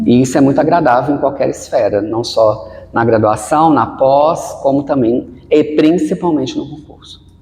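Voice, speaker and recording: A man talks at a moderate pace with hardly any pauses. His pitch is fairly high and varies in an ordinary way. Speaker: researcher and actor giving presentation tips. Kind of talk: podcast interview.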